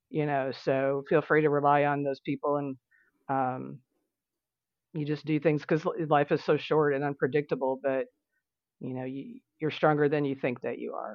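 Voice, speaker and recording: A woman with an American accent speaks at a moderate pace in a very deep, low pitch. Her intonation stays fairly even. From Tennessee, US South. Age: 50s. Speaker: breast cancer survivor and nutrition client. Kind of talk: interview.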